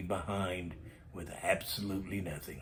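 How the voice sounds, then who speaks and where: A man talks at a very slow pace in an American accent. His voice is somewhat breathy. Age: 60s. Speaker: storytelling vlogger. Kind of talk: casual monologue storytelling.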